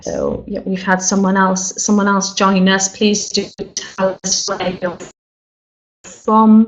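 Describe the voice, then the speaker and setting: A woman speaks with a Welsh accent. Her pace is fairly slow. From Wales. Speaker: funeral director and quality inspector. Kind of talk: webinar presentation. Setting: online webinar. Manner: hesitant, many fillers.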